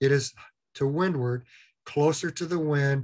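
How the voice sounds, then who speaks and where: The voice is somewhat breathy, with fairly even intonation at a moderate pace. The background is quiet. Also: man. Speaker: instructor. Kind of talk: lecture.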